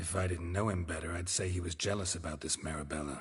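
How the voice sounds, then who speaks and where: Against a quiet background, a man rattles off a raspy, put-on character voice at a very fast pace, pitched very deep and low. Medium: video game. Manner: terse, dry, low-key.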